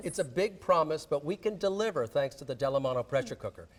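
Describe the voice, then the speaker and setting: A man's normal speaking voice. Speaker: celebrity chef. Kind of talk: infomercial cooking demonstration.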